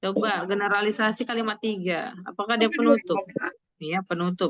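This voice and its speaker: Her pitch is medium and varies in an ordinary way. The woman talks at a moderate pace. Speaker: tutor teaching an online test-prep class. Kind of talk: online class, casual teaching with students.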